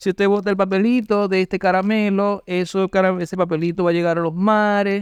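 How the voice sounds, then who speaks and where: With an eastern Venezuelan accent, a man speaks at a high pitch with fairly even intonation, the sound dry and close with no echo over a quiet background. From Cumaná, Venezuela. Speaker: street candy vendor and local history enthusiast. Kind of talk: interview answer. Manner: eloquent.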